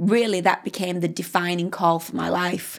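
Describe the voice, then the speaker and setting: With a British accent, a woman speaks at a moderate pace in a medium pitch with fairly even intonation. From UK. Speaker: pastor. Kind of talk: interview.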